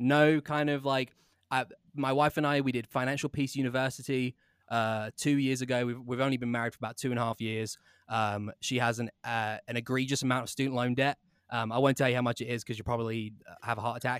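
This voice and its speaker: A man speaks very fast in a flat monotone, recorded very cleanly with a silent background and a dry, close sound free of echo. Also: medium pitch for a man. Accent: English. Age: 20s. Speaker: podcast host. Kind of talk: casual interview chat.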